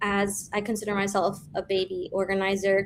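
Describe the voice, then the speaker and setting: A woman at a fairly slow pace. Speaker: activist organizer. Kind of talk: livestream report-back. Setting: virtual livestream.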